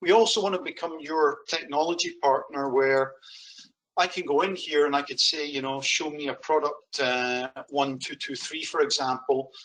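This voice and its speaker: A man with a slight Scottish accent talks at a moderate pace with a fairly high pitch and ordinary pitch variation. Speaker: software sales demonstrator. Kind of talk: product demo.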